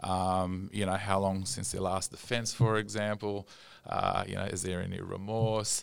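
With an Australian accent, a man talks at a fairly low pitch in a monotone, flat delivery. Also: moderate pace, very clean recording, silent background. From Australia, Sydney. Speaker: rehab clinic manager. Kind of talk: casual chat.

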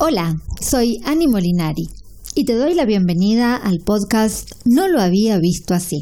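A woman speaks in a dark, mellow tone at medium pitch. Her pitch swings very widely while her loudness stays very even. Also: fairly slow pace. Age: 40s. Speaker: podcast host and energy coach. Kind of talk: scripted podcast intro; personal storytelling monologue. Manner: warm, enthusiastic.

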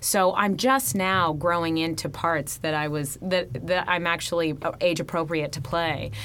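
At a fairly slow pace and with hardly any pauses, a woman with an American accent speaks in a fairly low pitch. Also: ordinary pitch variation. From California, Fresno. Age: 30s. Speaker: stage actress. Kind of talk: interview. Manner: animated.

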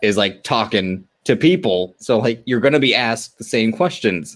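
A man with a plain, everyday voice speaks in an American accent at medium pitch, with lively intonation and a moderate pace. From California. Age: 20s. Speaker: wrestling podcast guest. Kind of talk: casual chat.

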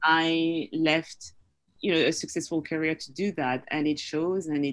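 In a French accent, a woman speaks at a fairly slow pace with a very deep, low pitch and fairly even intonation. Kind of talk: interview. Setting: video call.

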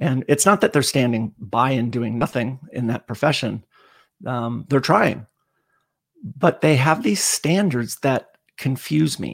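With vocal fry and lively intonation, a man talks at a fairly slow pace in a medium pitch, recorded very cleanly over a silent background with a dry, close sound and no echo. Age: 50s. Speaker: endurance coach. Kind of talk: casual chat. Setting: live stream.

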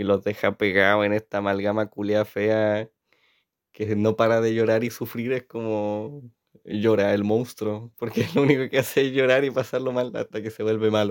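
A man speaks in a Chilean accent at a moderate pace, fairly low in pitch with monotone, flat intonation. The recording is very clean, with a silent background. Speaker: audiovisual communication student, vlogger. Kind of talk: casual solo monologue. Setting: in his bedroom at home. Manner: rambling, hesitant improvised speech.

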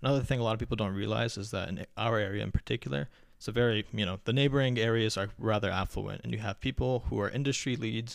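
With an American accent and vocal fry, the speaker talks at a very fast pace with ordinary pitch variation on a very clean recording with a silent background. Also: man. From US, first-generation Afghan American. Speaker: podcast guest. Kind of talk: casual chat.

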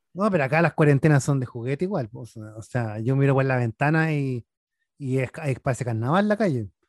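A man with a normal speaking voice at medium pitch, lively intonation and a fairly quick pace, in a dry, close sound with no echo. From northern Chile. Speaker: podcast host. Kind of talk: casual chat.

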